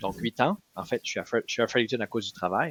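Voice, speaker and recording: Here a man speaks at a medium pitch. The pitch varies in an ordinary way. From New Brunswick, Acadian (Moncton). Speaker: political candidate, union organizer. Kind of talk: podcast interview. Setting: his office. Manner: hesitant with fillers.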